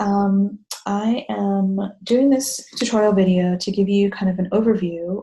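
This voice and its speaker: Speaking very slowly, a woman with a dark, mellow tone and a somewhat breathy medium-pitched voice shows ordinary pitch variation. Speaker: blog managing editor, mom blogger. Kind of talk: tutorial. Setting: bathroom at night. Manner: whispery, hushed. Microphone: echoey audio.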